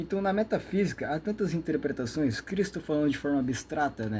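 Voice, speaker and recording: This man talks at a fairly quick pace, somewhat breathy, with ordinary pitch variation. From Brazil. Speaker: YouTube lecturer on metaphysics. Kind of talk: monologue lecture. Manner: fast; rambling, with many fillers.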